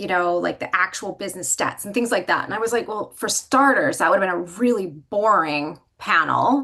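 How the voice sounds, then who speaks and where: Speaking at a moderate pace with hardly any pauses, a woman uses a medium-pitched voice with a bright, sharp tone. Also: lively intonation. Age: young. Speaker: business leader. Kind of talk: panel discussion. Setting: livestream.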